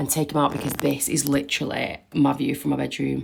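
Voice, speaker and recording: At a moderate pace, a woman with a British accent speaks in a very deep, low pitch. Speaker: vlogger. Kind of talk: casual vlog chat.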